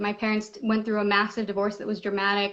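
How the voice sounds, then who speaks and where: Her pitch is medium. The woman talks with a Spanish accent. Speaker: panel guest discussing social issues. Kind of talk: personal testimony in a group discussion.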